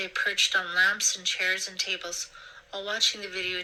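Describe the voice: Simply plain reading aloud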